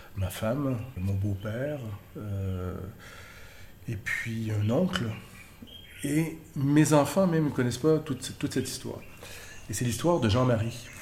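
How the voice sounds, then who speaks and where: Speech moves at a very slow pace with long, frequent pauses and lively intonation. Room echo is audible. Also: man, medium pitch for a man. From Quebec, Montreal. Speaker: journalism trainer. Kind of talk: personal testimony.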